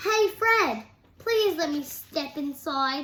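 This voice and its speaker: The speaker uses a put-on character voice. The delivery moves at a very slow pace. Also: woman, high pitch for a woman. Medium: read story.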